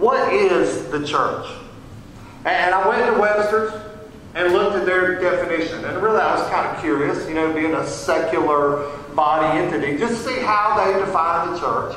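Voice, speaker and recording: Moderate pace and ordinary pitch variation, with strong room echo and light background noise. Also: man. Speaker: pastor. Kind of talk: sermon. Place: church. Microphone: camera far.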